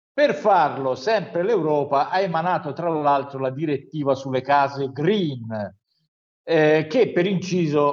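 Ordinary pitch variation marks an unremarkable speaking voice delivered at a fairly slow pace. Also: man. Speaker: news commentator. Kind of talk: news review.

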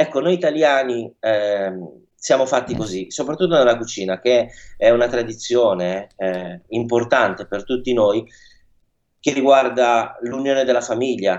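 A man with a plain, everyday voice speaks at a fairly slow pace in a medium pitch with ordinary pitch variation. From northern Italy, Milan. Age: young. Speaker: chef. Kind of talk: radio interview.

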